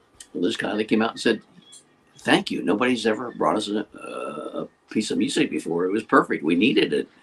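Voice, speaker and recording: Speaking at moderate speed, a man talks with an American accent. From Western Pennsylvania. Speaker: radio DJ. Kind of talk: casual interview chat. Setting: video call.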